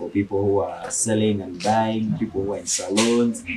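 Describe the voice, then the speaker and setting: Noticeable background noise runs behind a man who speaks at a moderate pace in a fairly low voice. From Western Uganda, near Congo border. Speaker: street musician. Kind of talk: interview. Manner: halting.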